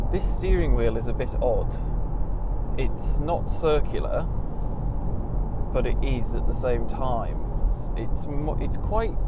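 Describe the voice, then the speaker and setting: A man speaks at a very slow pace with long, frequent pauses, the sound dry with no echo beneath loud background noise. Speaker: car reviewer. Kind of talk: car review commentary. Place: car.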